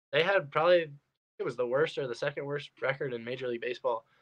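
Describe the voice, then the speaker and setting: A man speaks with ordinary pitch variation in a quiet background. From Western New York, Rochester; New York. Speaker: baseball player; podcast guest. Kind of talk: casual chat. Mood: relaxed, friendly. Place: home room. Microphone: video call.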